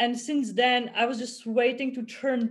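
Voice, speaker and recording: A woman with a Czech accent talks at a moderate pace in a fairly high pitch. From Czech Republic. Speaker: author and former rower. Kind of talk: casual chat. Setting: video call.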